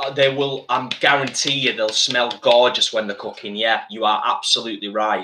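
Light background noise accompanies a man speaking with an English accent. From UK. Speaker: vegan cooking channel host. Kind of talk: live-stream cooking chat. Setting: home kitchen. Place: kitchen. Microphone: webcam.

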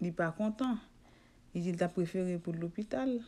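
A woman with a dark, mellow tone and fairly low pitch talks at a moderate pace, her pitch varying in an ordinary way. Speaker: home remedy video blogger. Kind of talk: casual vlog monologue. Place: home room.

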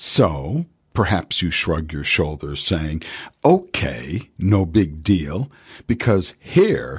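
A man talks at a very slow pace, his very deep, low voice swinging very widely in pitch. There is vocal fry, and the background is quiet. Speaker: radio show host and professional voice artist. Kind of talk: radio show host presenting a segment. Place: studio. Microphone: studio mic.

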